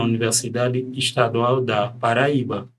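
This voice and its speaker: A man speaks with a non-native accent. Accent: foreign accent in Portuguese. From Democratic Republic of the Congo. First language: French (speaking Portuguese). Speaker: psychiatrist. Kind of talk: podcast interview.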